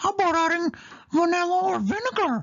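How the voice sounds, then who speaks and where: A put-on character voice, squeaky and extremely high-pitched, comes through with a cheerful tone. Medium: read story.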